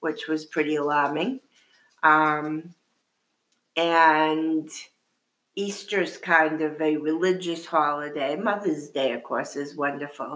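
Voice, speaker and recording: A woman speaks at a very slow pace in a very deep, low pitch. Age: 60s. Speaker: retired grandmother. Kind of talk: casual chat.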